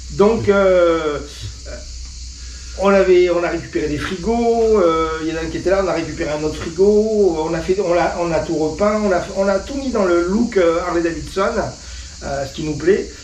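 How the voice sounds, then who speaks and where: Against noticeable background noise and audible room echo, a man with a high voice talks at a moderate pace with ordinary pitch variation. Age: 60s. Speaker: motorcycle club founder. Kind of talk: casual interview. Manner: hesitant, many fillers.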